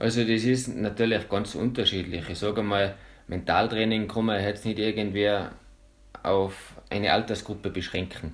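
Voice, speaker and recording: A man's plain, everyday voice, fairly low in pitch, with fairly even intonation at a moderate pace. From Austria (Salzburg, Pinzgau). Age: 20s. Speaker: mental trainer and freerunner. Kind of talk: interview.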